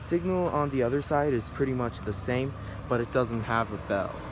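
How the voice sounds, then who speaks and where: A man's voice with ordinary pitch variation over loud background noise. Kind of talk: casual tour commentary. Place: street. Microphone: phone near.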